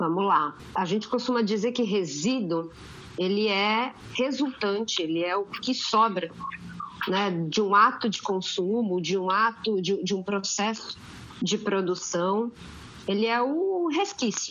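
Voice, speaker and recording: Against noticeable background noise, a woman talks at a fairly slow pace in a medium pitch with ordinary pitch variation. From Santos, São Paulo state, Brazil. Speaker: geographer and waste sector technical coordinator. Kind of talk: panel discussion. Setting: podcast recording.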